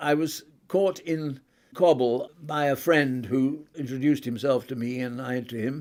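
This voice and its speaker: A man in an RP accent, fairly high in pitch, at a fairly slow pace with ordinary pitch variation. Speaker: retired diplomat. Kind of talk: interview.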